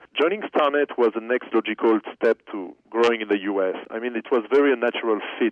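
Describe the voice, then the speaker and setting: A man speaks with a French accent at a medium pitch. His intonation stays fairly even. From France. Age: 30s. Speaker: company executive. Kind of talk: interview.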